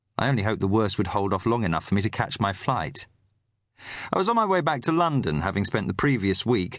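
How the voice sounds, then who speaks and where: This man has a plain, everyday voice at a fairly low pitch. His intonation is lively. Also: quiet background. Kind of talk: audiobook narration, literary crime fiction read aloud. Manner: measured, steady storytelling pace with a grave, atmospheric tone.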